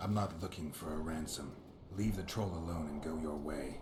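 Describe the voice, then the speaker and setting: A man's put-on character voice, very deep and low, fairly quick, over clear background noise. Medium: video game. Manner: terse, dry.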